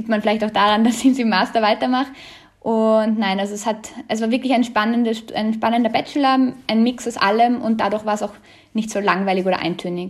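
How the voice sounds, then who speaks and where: A woman speaks with an unremarkable speaking voice at a fairly high pitch. Her intonation stays fairly even. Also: fairly quick pace. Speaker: student. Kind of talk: interview.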